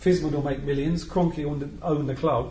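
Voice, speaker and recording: Somewhat breathy, a man talks at a fairly quick pace. His pitch is fairly high, and his intonation fairly even. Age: 50s. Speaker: football fanzine panelist. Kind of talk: casual chat.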